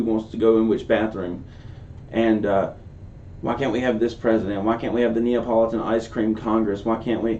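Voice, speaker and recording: At a fairly quick pace, a man speaks at a medium pitch with audible room echo. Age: 20s. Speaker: political commentary youtuber. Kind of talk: casual commentary reacting to a video. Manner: casual, conversational.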